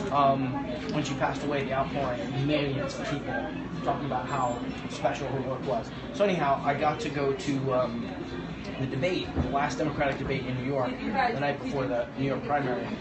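Against loud background noise, a man speaks fairly quickly with ordinary pitch variation. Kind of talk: conversational answer to a question. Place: cafe. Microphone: phone near.

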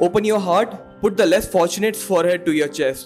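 Faint music plays in the background. A man talks in a high pitch with ordinary pitch variation. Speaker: spoken word poet. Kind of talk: spoken word poetry performance. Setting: live open mic, audience. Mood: earnest, reflective. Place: stage. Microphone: handheld.

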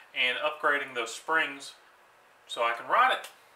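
Talking at a fairly slow pace, a man is heard with audible echo from the room. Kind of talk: tutorial. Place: workshop.

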